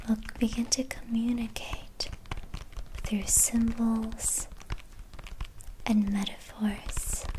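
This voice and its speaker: Soft-spoken whispering at a very slow pace, with long, frequent pauses and light background noise. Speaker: meditation guide. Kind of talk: guided meditation. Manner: whispered; soft-spoken, slow. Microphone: studio mic.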